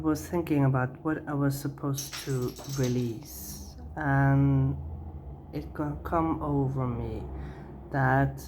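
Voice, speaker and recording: The speech moves at a very slow pace. Room echo can be heard around it. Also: woman. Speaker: tarot reader. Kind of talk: tarot reading. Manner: halting, many fillers.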